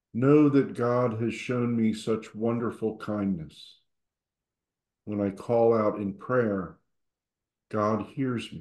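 Very slow, calm, soothing speech with long, frequent pauses, ordinary pitch variation, audible room echo and a quiet background. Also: man. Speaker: service leader. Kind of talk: guided prayer. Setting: church. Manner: calm, soothing, slow and gentle. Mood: calm, quiet, devotional. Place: home room. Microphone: video call.

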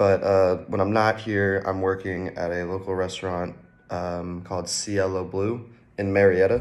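A very deep, low-pitched man with an American accent, fairly even in intonation, at a fairly slow pace. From Georgia, US. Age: 20s. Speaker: college student. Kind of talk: self-introduction video. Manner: halting, with fillers. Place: home room. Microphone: phone near.

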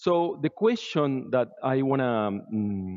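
The background stays quiet. A man's speech unfolds at a fairly slow pace. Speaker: conference presenter. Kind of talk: lecture. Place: hall.

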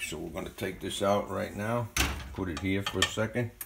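The pace is moderate. Light background noise sits behind the voice. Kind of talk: tutorial. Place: kitchen. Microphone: phone near.

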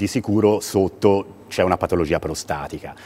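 Faint music plays in the background as a man with a fairly low pitch talks at a moderate pace. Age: 50s. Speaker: urologist; guest. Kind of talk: TV interview. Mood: calm, explanatory. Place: studio. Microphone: lapel.

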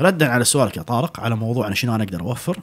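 Behind the voice, the background stays quiet. A man speaks with lively intonation. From Kuwait. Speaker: restaurant owner and chef; podcast guest. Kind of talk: casual interview chat. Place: studio. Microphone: studio mic.

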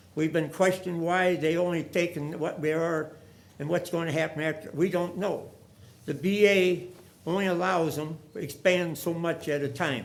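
A man with an American accent at a fairly high pitch and moderate pace, with audible room echo. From US Midwest, St. Louis area. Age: 90s. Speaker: war veteran speaking at public forum. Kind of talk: public comment speech. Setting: council meeting chamber. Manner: halting; earnest, pleading.

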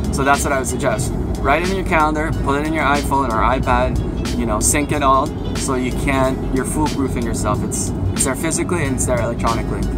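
Over clear background music, a man talks at a very fast pace. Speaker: fitness trainer. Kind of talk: casual vlog chat. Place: car. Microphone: phone near.

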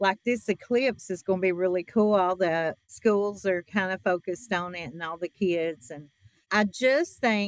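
With a quiet backdrop, a woman talks fairly slowly, her pitch rising and falling in an ordinary way. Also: dry sound with no echo. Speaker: podcast guest. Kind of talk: interview answer. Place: shop.

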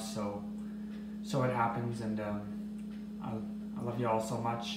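Music plays behind a man whose voice carries audible echo from the room. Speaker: vlogger. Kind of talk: casual vlog chat. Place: kitchen. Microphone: phone near.

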